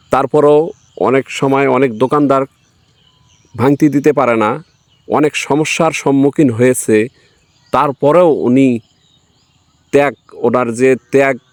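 The voice has very even loudness and monotone, flat intonation, with a dry, close sound and no echo. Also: man, fairly high pitch for a man. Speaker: local video reporter. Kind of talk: field report with interviews.

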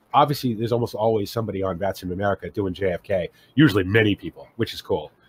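On a very clean recording with a silent background, a man speaks very fast in a somewhat breathy voice. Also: fairly low pitch for a man, ordinary pitch variation, dry, close sound with no echo. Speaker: flight sim enthusiast. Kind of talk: casual chat.

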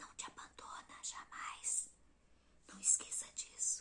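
A woman whispering. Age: 50s. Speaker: ASMR content creator. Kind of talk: ASMR whisper reading of inspirational messages. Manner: whispered, soft-spoken, slow. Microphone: lapel.

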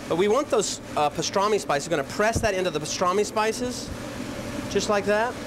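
Noticeable background noise beneath a man's moderately paced speech. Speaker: chef cooking show host. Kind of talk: tutorial. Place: kitchen.

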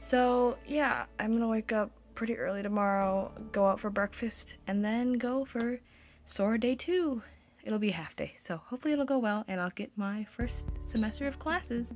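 Faint music plays behind a woman speaking with ordinary pitch variation. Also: moderate pace. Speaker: incoming college student vlogger. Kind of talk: casual vlog chat. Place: home room. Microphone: phone near.

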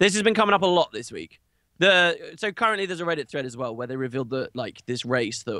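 A man's bright, sharp voice with very wide pitch swings, on a very clean recording with a silent background. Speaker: gaming podcast co-host. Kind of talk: casual chat.

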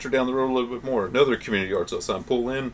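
A man races along at a very fast pace while light noise sounds behind him. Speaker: reseller showing thrift finds. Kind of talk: casual vlog chat. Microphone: camera far.

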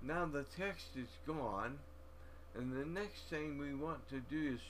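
Noticeable background noise fills the clip. A man talks at a very slow pace. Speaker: software tutorial presenter. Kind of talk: screen-recorded software tutorial. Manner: slow, halting.

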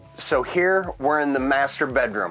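Faint music plays behind a man who speaks at a fairly slow pace with fairly even intonation. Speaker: presenter. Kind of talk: product tour presentation. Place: home room.

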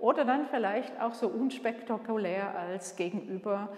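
A woman's voice at a fairly slow pace, with ordinary pitch variation and audible room echo. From Switzerland. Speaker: museum curator and director. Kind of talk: guided museum tour. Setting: museum exhibition room. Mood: warm, friendly. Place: hall. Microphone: camera far.

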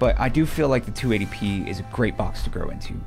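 A man speaks at a moderate pace. Faint music can be heard in the background. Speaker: presenter. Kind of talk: product overview presentation. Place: studio. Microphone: studio mic.

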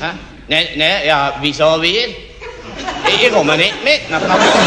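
Noticeable background noise sits behind a man. He speaks at a very slow pace. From Emmental, canton of Bern. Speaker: comedy sketch performer.

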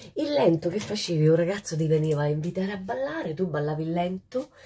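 Against a quiet background, a woman speaks at a moderate pace in a fairly low pitch, her somewhat breathy voice animated in tone with ordinary pitch variation. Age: 60s. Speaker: social media host. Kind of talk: casual monologue to viewers. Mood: nostalgic, cheerful. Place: home room. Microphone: phone near.

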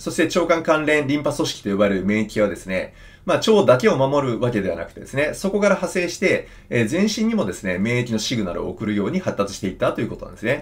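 A man talks at a very fast pace in a fairly high pitch with very wide pitch swings. His voice carries vocal fry. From Japan. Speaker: surgeon and health educator; health educator. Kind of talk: health talk to camera. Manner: conversational, many fillers. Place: office.

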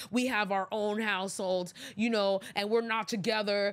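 A woman talks at a fairly slow pace. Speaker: podcast host. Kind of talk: opinion commentary. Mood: exasperated, sarcastic. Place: studio. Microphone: studio mic.

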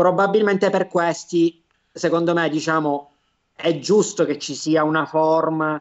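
A man in a Sicilian accent, fairly high-pitched, with ordinary pitch variation and a quiet background. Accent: Sicilian Italian. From Palermo, Sicily; Sicily. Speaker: lawyer and business consultant; lawyer. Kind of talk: interview, informative explanation. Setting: web TV broadcast, video call. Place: home room. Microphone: video call.

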